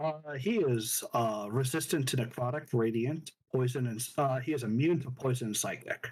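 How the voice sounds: It is a natural reading voice. The pitch varies in an ordinary way.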